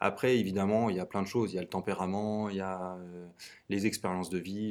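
A man with an unremarkable speaking voice talks at a moderate pace in a fairly low pitch. The recording is very clean, with a silent background. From central France (Tours). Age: 20s. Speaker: startup co-founder and CTO. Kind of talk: interview testimony.

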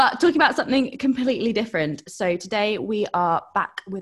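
A woman's fairly high voice in an English accent. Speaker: podcast host.

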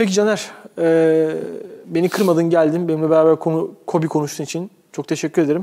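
A man speaks with a dark, mellow tone at a high pitch. His pace is fairly quick and his intonation is a flat monotone. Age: 20s. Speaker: sports podcast host. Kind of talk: casual chat. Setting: studio.

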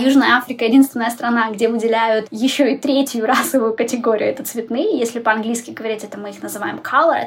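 Over noticeable background noise, a woman talks at a very fast pace with hardly any pauses. Her fairly high voice shows big swings in loudness. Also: fairly even intonation. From Ukraine, Kryvyi Rih. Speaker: tour guide and photographer. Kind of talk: interview.

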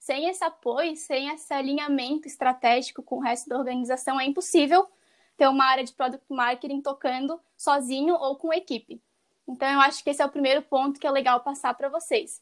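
A woman's high voice at a fairly quick pace with fairly even intonation. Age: 20s. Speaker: product marketing professional. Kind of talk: podcast interview.

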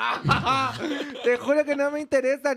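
Animated delivery with a Chilean accent, dry and close with no echo, on a very clean recording with a silent background. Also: woman. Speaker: content creator. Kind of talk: casual chat.

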